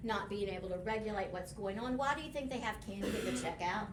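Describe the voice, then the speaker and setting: A woman with a West Texas accent talks with ordinary pitch variation. Noticeable background noise and audible room echo fill the recording. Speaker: behavior specialist. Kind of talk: workshop presentation.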